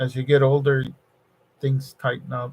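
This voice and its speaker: A man speaks in a somewhat breathy voice. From Mexico, Nuevo Laredo (border region). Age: 60s. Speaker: electronics design engineer and livestreamer. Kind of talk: casual live-stream chat with viewers. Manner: halting, many fillers and repetitions.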